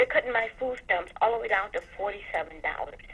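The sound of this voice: Speaking at a fast pace, a woman has a medium-pitched voice with ordinary pitch variation. Her tone is fairly bright.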